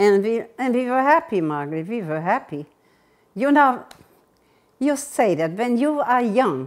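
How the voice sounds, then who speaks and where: With very wide pitch swings, this woman speaks in a high voice. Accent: German. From Germany. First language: German. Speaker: war survivor recounting life history. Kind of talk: oral history interview. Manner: halting.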